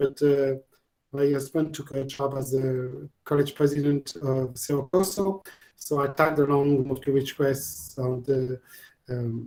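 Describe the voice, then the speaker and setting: In a French accent, a man speaks at a fairly slow pace with fairly even intonation. His tone is dark and mellow, his pitch fairly high. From France, Normandy. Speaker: family resource center supervisor. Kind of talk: casual Q&A. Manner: halting, many fillers and repeats.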